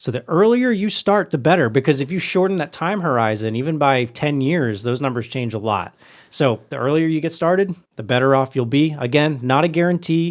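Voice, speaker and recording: A normal speaking voice from a man, fairly high in pitch, with lively intonation and a fairly quick pace. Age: 20s. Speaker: podcast host. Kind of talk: casual chat.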